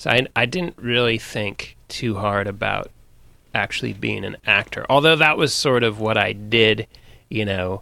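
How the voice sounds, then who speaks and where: On a very clean recording with a silent background, a man with an American accent speaks fairly slowly at a fairly low pitch, his tone bright and sharp with vocal fry. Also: ordinary pitch variation. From Northern California (Sonoma). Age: 40s. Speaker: actor. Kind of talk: casual interview chat.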